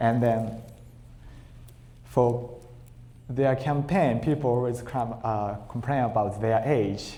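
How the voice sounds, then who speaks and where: A man with a medium pitch and ordinary pitch variation talks at a fairly slow pace. He leaves long, frequent pauses, and the room echo is audible. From Japan, Tokyo. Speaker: Buddhist minister, guest lecturer. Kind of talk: lecture. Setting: temple hall with audience, PA system. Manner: halting; quiet. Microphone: too quiet, volume adjusted.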